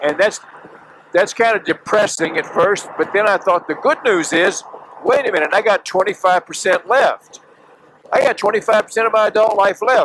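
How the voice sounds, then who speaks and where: Over noticeable background noise, a man with a high pitch talks at a moderate pace and ordinary pitch variation. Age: 70s. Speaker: motorcycle vlogger. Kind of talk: vlog monologue. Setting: riding a motorcycle on a highway. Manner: casual, halting with fillers.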